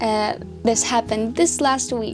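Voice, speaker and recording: A woman talks at a fairly slow pace with a Scottish accent. Music plays in the background. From Scotland. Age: young. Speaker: artist. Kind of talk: casual talk to camera.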